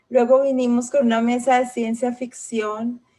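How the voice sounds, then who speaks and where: A woman's fairly high voice at a fairly slow pace. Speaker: host / moderator of a literary festival panel. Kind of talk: event welcome / moderation.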